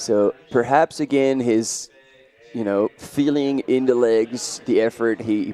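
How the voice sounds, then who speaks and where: Over music in the background, a man with a French accent talks at a fairly slow pace and medium pitch, his intonation fairly even, in a dry, close sound with no echo. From France. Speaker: trail running commentator. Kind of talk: live commentary.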